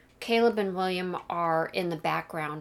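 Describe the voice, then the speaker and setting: Here a woman speaks with a fairly low pitch and ordinary pitch variation. The recording is very clean, with a silent background. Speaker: podcast co-host and pop culture scholar. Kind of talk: casual discussion of a film.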